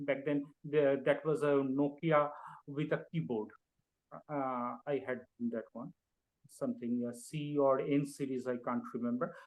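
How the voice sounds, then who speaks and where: A man with a Bengali accent, fairly high pitch, ordinary pitch variation, fairly slow pace and long, frequent pauses. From India (Bengal). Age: young. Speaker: poet. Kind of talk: interview. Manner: halting, many fillers.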